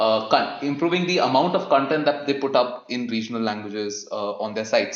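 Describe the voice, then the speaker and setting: Speaking with a Keralan accent, a man uses lively intonation at a moderate pace, with audible room echo. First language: Malayalam. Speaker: film podcast host. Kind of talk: casual podcast discussion.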